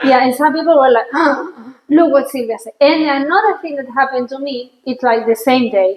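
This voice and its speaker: With a Spanish accent, a woman speaks at a high pitch with ordinary pitch variation. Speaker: podcast host. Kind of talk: casual chat. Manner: halting.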